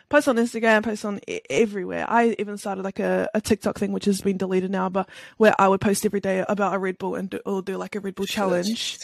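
With a New Zealand accent, a woman talks at a very fast pace with hardly any pauses, her medium pitch held in a monotone, flat intonation and her sound dry and close with no echo. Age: 20s. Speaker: Twitch streamer. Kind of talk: casual interview chat.

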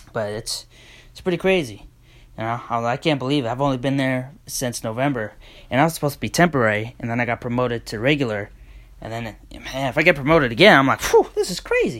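The recording is very clean, with a silent background. A man at a medium pitch talks very fast, with ordinary pitch variation and big swings in loudness. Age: 20s. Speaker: podcast host. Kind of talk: casual solo chat. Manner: hesitant, many fillers.

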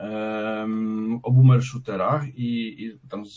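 Speaking in a flat monotone, a man has a medium pitch and a dark, mellow tone. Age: 40s. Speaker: game developer. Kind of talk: casual chat. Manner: halting.

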